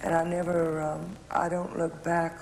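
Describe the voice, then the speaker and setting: A Texan accent in a monotone, flat intonation at a moderate pace, with noticeable background noise. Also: woman. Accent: Texan Southern. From Houston, Texas. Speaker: political commentator and author. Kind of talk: interview answer.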